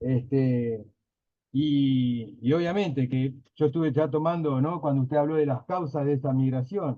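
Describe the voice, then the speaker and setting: This man has a fairly high pitch and ordinary pitch variation. He speaks at a fairly slow pace with very even loudness. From Río de la Plata (Uruguay/Argentina). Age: 40s. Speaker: workshop participant. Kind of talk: casual class discussion. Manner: hesitant, many fillers.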